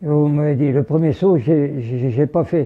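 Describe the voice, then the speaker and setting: A man's fairly high-pitched voice moves with ordinary pitch variation. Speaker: war veteran. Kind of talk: interview answer.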